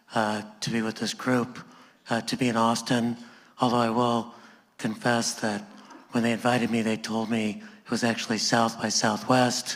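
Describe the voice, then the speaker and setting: Flat, monotone intonation from a man at medium pitch. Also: moderate pace. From Los Angeles. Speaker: sociology professor. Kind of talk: onstage panel conversation. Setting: stage with live audience. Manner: hesitant with filler words, joking.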